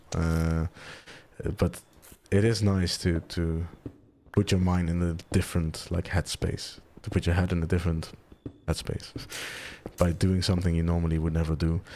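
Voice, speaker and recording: A soft-spoken man with a very deep, low pitch and a dark, mellow tone talks in a calm tone with monotone, flat intonation. He leaves long, frequent pauses. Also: moderate pace. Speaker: gaming video creator. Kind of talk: soft-spoken gameplay commentary. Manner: soft-spoken, calm; rambling, hesitant.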